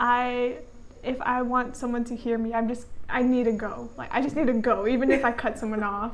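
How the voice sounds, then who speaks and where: The soft-spoken voice moves at a fairly quick pace in a monotone, flat intonation, with audible room echo around it. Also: woman, high pitch for a woman. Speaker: channel co-host, student. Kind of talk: casual chat.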